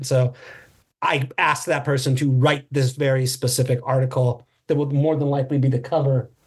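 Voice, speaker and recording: In a somewhat breathy voice of medium pitch, a man speaks with an American accent. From US West Coast (Los Angeles South Bay). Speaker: writer and drummer. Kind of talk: casual chat.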